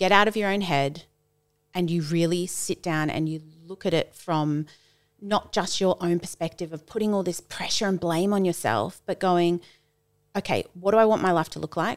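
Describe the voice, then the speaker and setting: In an Australian accent, a woman speaks at a moderate pace with fairly low pitch and ordinary pitch variation. The recording is very clean, with a silent background. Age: 30s. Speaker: schoolteacher and run club founder. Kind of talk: casual chat.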